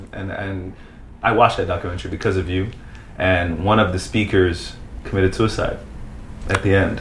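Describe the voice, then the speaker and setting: Fairly quick between long, frequent pauses, a man with a very deep, low voice speaks with fairly even intonation. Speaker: podcast host. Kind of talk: casual interview. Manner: halting, stumbles over words.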